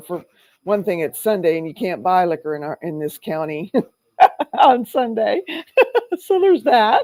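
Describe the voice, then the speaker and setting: A woman's dark, mellow, medium-pitched voice at a moderate pace on a very clean recording with a silent background. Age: 50s. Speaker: recovery meeting host. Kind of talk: casual chat.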